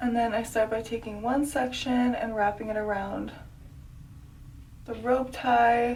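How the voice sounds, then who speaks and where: A woman speaks at a moderate pace in a fairly high pitch, her intonation fairly even. Noticeable background noise and audible room echo fill the recording. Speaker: beauty vlogger. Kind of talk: casual vlog. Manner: filler-heavy speech.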